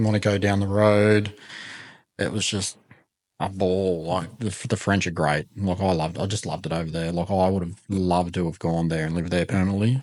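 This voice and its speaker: A man with an Australian accent talks at a fairly quick pace in a very deep, low voice. His intonation is fairly even, and the background is quiet. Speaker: podcast host. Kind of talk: casual chat. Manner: monotone.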